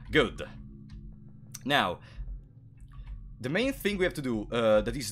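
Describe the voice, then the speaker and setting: This man talks at a moderate pace. He has an Italian accent. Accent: Italian accent, non-native English. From Italy. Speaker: gaming streamer. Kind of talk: live gameplay stream commentary. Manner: frequent filler hesitations.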